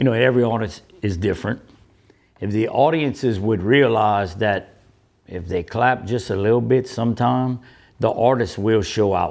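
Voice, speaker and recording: This is an ordinary speaking voice with ordinary pitch variation, moving at a moderate pace. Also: man, quiet background. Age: 60s. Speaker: musician. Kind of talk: interview.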